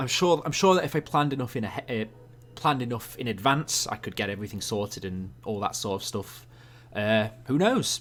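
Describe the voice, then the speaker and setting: Music plays in the background as a man talks at a fairly quick pace. His medium-pitched voice has lively intonation. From England. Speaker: YouTube animator streamer. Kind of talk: live stream Q&A. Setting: live stream. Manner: casual, halting with fillers.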